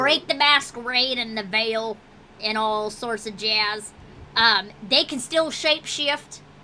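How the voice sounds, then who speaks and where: Putting on a gruff character voice, a woman speaks at a fairly high pitch and a fairly slow pace. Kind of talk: tabletop game master character voice. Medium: actual play. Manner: gruff, profane, folksy.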